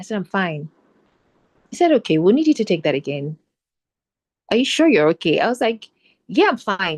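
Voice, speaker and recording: A woman with a medium-pitched voice talks at a fairly quick pace, her pitch swinging very widely, with long, frequent pauses and a dry, close sound with no echo. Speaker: actor. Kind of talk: panel discussion. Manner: fast.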